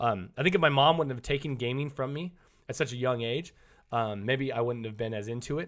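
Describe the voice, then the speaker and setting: In an animated tone, a man with an American accent talks fairly quickly at a medium pitch, his pitch varying in an ordinary way. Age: 30s. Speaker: streamer. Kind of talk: casual chat. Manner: loud.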